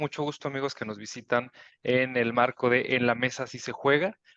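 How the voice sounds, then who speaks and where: A man with a northern Mexican accent speaks at a moderate pace in a dry, close sound with no echo. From northern Mexico, Chihuahua. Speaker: board game designer. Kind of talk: panel talk.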